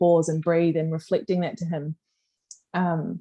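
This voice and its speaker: A woman's fairly low, dark, mellow voice in an Australian accent, monotone and flat, at a moderate pace against a quiet background. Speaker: life coach. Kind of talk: casual chat. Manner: loud.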